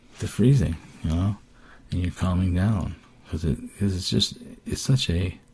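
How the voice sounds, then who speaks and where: Over noticeable background noise, a man talks with a very deep, low pitch. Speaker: person with Parkinson's disease. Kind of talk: casual podcast talk. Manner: hesitant, many fillers.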